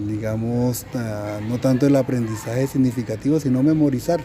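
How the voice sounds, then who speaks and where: A man speaks at a medium pitch. Noticeable background noise sits behind his voice. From Colombia, Caribbean coast (Cartagena). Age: 50s. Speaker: teacher. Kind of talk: interview. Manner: halting, many fillers.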